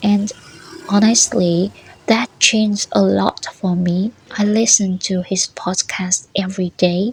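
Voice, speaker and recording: The speaker has a Vietnamese accent and talks at a fairly slow pace. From northern Vietnam, Bac Giang. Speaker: language learning vlogger, former food tour guide. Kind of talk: personal storytelling monologue.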